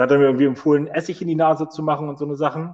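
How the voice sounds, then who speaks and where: The man's voice is fairly high in pitch. He talks at a fairly quick pace. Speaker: podcast host. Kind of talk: casual chat. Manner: loud.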